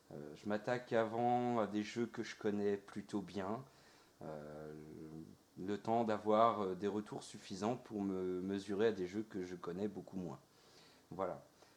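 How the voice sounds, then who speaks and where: At a very slow pace, a man with a fairly low voice talks with long, frequent pauses. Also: ordinary pitch variation. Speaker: let's play gamer. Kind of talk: gameplay commentary. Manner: hesitant, many filler sounds.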